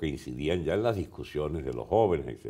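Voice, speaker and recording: Against a quiet background, a man talks with vocal fry and lively intonation. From Venezuela. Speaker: veteran politician; interviewee. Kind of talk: long-form interview; interview answer. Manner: halting with frequent word repetitions. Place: studio. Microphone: lapel.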